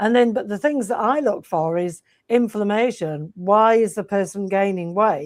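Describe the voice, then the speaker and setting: A woman with a plain, everyday voice at medium pitch speaks at a moderate pace with ordinary pitch variation on a very clean recording with a silent background. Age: 60s. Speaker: health and fitness coach. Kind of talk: podcast interview.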